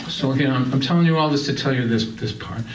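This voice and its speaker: A man with an American accent and lively intonation, amid noticeable background noise and audible room echo. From Massachusetts, Lynn. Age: 60s. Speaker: singer-songwriter and storyteller. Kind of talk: stand-up storytelling. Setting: stage with audience. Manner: animated.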